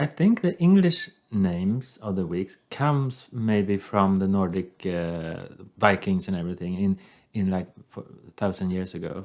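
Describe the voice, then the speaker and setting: On a very clean recording with a silent background, a man with a very deep, low pitch and a Swedish accent speaks at a fairly slow pace with ordinary pitch variation. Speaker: podcast co-host. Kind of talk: casual chat.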